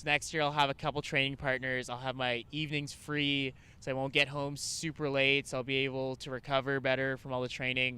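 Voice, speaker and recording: A man with a Canadian accent and a bright, sharp tone, medium pitch, monotone, flat intonation, a fairly quick pace and hardly any pauses. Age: 30s. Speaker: climbing route setter and coach. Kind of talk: casual interview chat.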